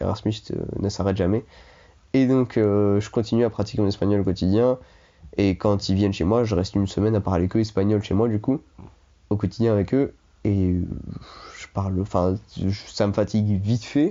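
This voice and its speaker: Speaking in a fairly low voice with fairly even intonation, a man leaves long, frequent pauses. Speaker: former exchange student. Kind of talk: casual chat. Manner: fast.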